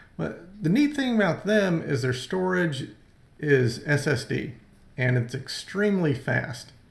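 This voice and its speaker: Audible room echo carries the voice of a man as he speaks. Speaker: screencast host. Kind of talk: tutorial. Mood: enthusiastic recommendation.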